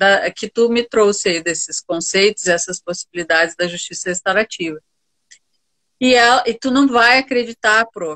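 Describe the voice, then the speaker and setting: A woman speaks at a moderate pace with medium pitch. She has an unremarkable speaking voice. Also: ordinary pitch variation. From Rio Grande do Sul, Brazil (Santa Maria). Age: 50s. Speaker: university professor and restorative justice instructor. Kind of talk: interview conversation. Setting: Instagram live video stream.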